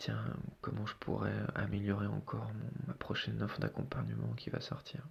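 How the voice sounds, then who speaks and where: Soft-spoken, a man talks at a moderate pace over noticeable background noise. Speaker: podcast host and coach. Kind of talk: solo podcast monologue. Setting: isolated room at night. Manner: hesitant, many fillers.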